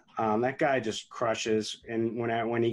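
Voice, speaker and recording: With an unremarkable speaking voice, the speaker moves along at a moderate pace. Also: man. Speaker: fantasy sports analyst. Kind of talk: casual chat.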